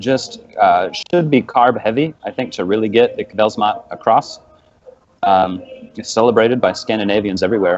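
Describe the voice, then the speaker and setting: A man's medium-pitched voice, a normal speaking voice, with ordinary pitch variation at a moderate pace. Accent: American. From United States. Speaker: podcast guest, card game player. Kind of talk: casual chat.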